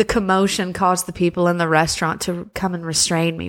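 Using a normal speaking voice, a woman talks at a fairly quick pace and a fairly low pitch. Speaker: spoken word poet.

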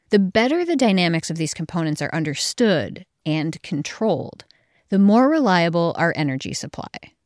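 A woman's fairly low-pitched voice, a plain, everyday voice, with lively intonation at a moderate pace in a very clean recording with a silent background. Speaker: podcast host. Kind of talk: scripted narration. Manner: formal.

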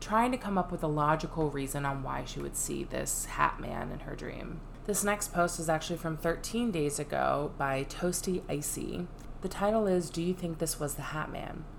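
Noticeable background noise sits behind a woman with fairly low pitch. She talks at a moderate pace with ordinary pitch variation. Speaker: podcast host. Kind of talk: horror story narration, reading Reddit accounts aloud in a hushed, suspenseful tone. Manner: casual, conversational asides between story readings.

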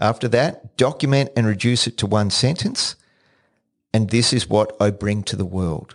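A man with a normal speaking voice talks at a moderate pace and a medium pitch. His pitch varies in an ordinary way against a quiet background. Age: 60s. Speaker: podcast host. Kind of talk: solo podcast monologue. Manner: repeats words when starting sentences.

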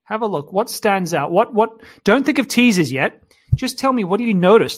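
A man with an Australian accent talks at a fairly quick pace with lively intonation. The sound is dry and close, with no echo. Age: 30s. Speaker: dating coach. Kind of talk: webinar lecture. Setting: live online webinar. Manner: animated.

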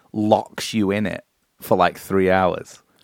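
A man speaks with a fairly low voice. The sound is dry and close with no echo, in a very clean recording with a silent background. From northern England. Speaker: podcast co-host. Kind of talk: casual chat. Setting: studio.

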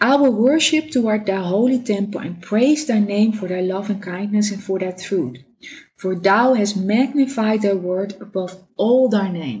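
The delivery is somewhat breathy and fairly slow. Its intonation is lively. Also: woman, medium pitch for a woman. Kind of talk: devotional talk. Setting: home dining table recording. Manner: halting, with many fillers.

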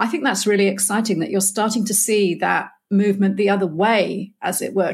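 A woman talks at a medium pitch with fairly even intonation and a somewhat breathy sound. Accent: British. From Britain. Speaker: podcast host. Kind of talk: interview. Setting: remote call.

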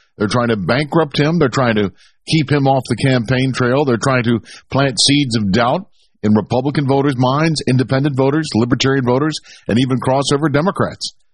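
A somewhat breathy man talks over a quiet background. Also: medium pitch for a man, ordinary pitch variation, very even loudness. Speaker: political commentator. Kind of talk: political commentary monologue. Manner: fiery, partisan; hesitant, filler-heavy.

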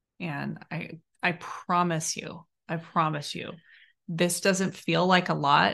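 An ordinary speaking voice from a woman, fairly low in pitch, against a quiet background. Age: 40s. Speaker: podcast host, relationship coach. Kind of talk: casual chat.

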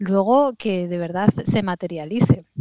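A woman of medium pitch with a dark, mellow tone, at a fairly slow pace, in a dry, close sound with no echo and a quiet background. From Asturias, Spain. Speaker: startup manager. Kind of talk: interview.

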